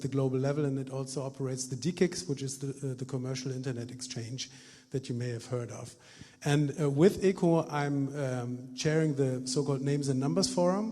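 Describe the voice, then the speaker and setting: A man talks at a fairly quick pace in a dark, mellow, somewhat breathy tone with a fairly high pitch and fairly even intonation. Room echo is audible. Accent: German. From Germany. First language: German. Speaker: lawyer, election candidate. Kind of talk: public debate statement. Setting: stage with audience. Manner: hesitant, many uhs.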